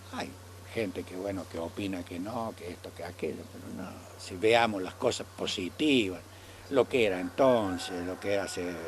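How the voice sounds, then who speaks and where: Loudness swings widely throughout. The speaker is a man with a very deep, low pitch. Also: ordinary pitch variation, moderate pace. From Argentina, Córdoba province (small town). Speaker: elderly local resident recalling town history. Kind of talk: oral history interview. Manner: halting, with many repetitions.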